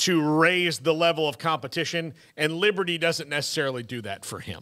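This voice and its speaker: A man at a moderate pace with a bright, sharp tone over a quiet background. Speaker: sports radio host. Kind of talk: commentary. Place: studio. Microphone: studio mic.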